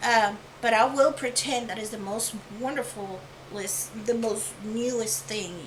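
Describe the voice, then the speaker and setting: Amid noticeable background noise and audible room echo, a woman with a fairly high pitch speaks at a fairly slow pace, with ordinary pitch variation, big swings in loudness, and long, frequent pauses. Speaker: art channel creator. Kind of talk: tutorial. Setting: home studio apartment. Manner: mumbling; whispering. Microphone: new lapel microphone.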